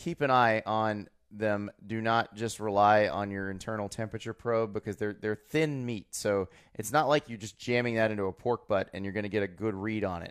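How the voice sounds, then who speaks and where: A man with an American accent speaks at a moderate pace in a fairly low pitch, using a plain, everyday voice and fairly even intonation. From Florida. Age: 30s. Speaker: college football writer and podcast co-host. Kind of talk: casual chat.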